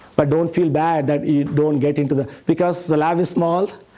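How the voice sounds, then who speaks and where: At a moderate pace, a man with a strong Indian accent talks in a fairly high pitch with fairly even intonation. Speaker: professor. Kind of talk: lecture.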